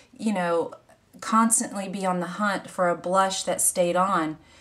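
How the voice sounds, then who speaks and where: A woman with an American accent talks at a fairly slow pace and medium pitch. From US South, Louisiana. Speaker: beauty vlogger. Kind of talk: makeup tutorial. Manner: casual, rambling with fillers.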